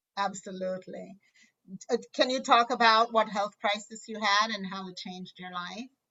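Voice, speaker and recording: A woman talks at a moderate pace in a plain, everyday voice. Her medium pitch comes with big swings in loudness. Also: fairly even intonation. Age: 60s. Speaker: podcast host. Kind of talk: interview.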